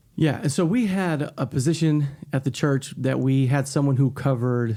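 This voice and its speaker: Recorded very cleanly against a silent background, the voice has an American accent, a dark, mellow tone and ordinary pitch variation. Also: man. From Chicago, south side. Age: 40s. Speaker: pastor and podcast host. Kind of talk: casual conversation podcast. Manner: conversational, many repetitions and fillers.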